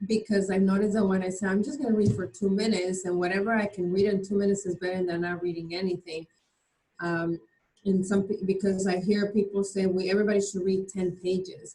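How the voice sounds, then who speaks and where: A very fast, somewhat breathy delivery with a dark, mellow tone and monotone, flat intonation. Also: woman, medium pitch for a woman. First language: not English. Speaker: mastermind group participant. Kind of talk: group discussion.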